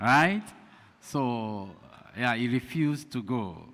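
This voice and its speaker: Speaking with a strong Nigerian accent, a man uses lively intonation at a medium pitch. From Nigeria (Igbo). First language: Igbo. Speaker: pastor and lecturer. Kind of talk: lecture. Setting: community hall with audience. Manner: deliberately slow.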